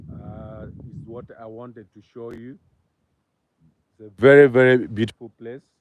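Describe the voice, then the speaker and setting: With a medium pitch and monotone, flat intonation, a man speaks at a fairly slow pace, his loudness swinging widely between long, frequent pauses. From Uganda, Pakwach area. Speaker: vlogger. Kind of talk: live stream tour. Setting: outdoors by a river. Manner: halting.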